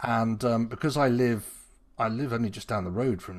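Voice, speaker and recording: A man with a normal speaking voice, medium pitch and ordinary pitch variation on a very clean recording with a silent background. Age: 50s. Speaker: podcast host. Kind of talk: casual chat.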